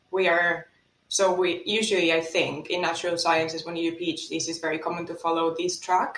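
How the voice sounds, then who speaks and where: With a Spanish accent, a woman speaks fairly quickly in a fairly low, monotone voice with flat intonation. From Spain. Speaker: economics lecturer. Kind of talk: podcast interview.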